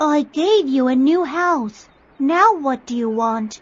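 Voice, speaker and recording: A high-pitched, put-on character voice delivered at a fairly slow pace. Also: female-sounding voice. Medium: read story. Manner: formal, brief.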